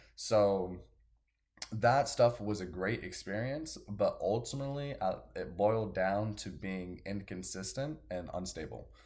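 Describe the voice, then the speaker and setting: This man's voice is fairly low and somewhat breathy. He talks at a fairly slow pace with ordinary pitch variation. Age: 20s. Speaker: personal trainer and natural bodybuilder. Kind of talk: casual chat.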